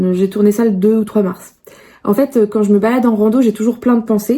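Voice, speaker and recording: The woman's voice is somewhat breathy. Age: 30s. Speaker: vlogger. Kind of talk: casual vlog talk. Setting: gym. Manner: casual, hesitant with many fillers.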